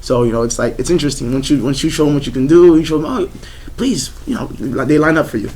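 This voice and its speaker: A man talks at a very fast pace with fairly high pitch and ordinary pitch variation. Audible room echo and noticeable background noise are present. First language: not English. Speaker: swing dancer. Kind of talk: group discussion.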